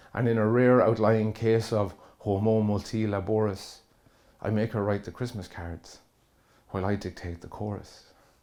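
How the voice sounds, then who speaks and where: Monotone and flat in intonation, a man speaks with a dark, mellow tone at a fairly low pitch. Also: moderate pace. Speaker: spoken word poet. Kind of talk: spoken word poetry performance.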